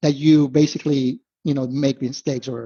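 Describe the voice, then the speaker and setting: In a somewhat breathy voice, a man keeps to a moderate pace. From Venezuela. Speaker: investment analyst. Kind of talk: podcast interview.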